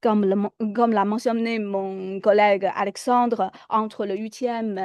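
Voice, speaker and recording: A dark, mellow tone with a non-native accent, fairly slow and fairly even in intonation, dry and close with no echo, over a quiet background. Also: woman. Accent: foreign accent in French. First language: Chinese (speaking French). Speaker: lecturer. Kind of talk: lecture. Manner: hesitant with fillers.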